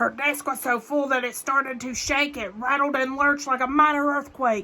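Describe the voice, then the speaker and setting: A woman puts on a character voice with a high pitch. Her pace is moderate. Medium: read story. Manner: rhyming, stern, ominous.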